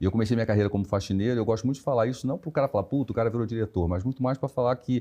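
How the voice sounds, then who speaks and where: A man's dark, mellow, somewhat breathy voice at medium pitch, with ordinary pitch variation and a very fast pace. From Rio de Janeiro, Brazil. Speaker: HR director. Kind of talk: interview conversation.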